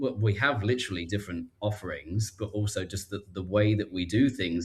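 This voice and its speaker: A man with a strong British accent speaks very fast at a fairly low pitch. His voice is somewhat breathy, with ordinary pitch variation. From southern England, Reading. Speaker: life coach. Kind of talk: casual chat.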